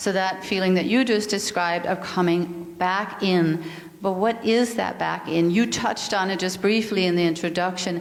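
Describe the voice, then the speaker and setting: Over noticeable background noise and audible room echo, a woman talks at a medium pitch and a moderate pace with fairly even intonation. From Denmark. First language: Danish. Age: 50s. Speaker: yoga and mindfulness teacher, speaker. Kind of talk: spiritual talk.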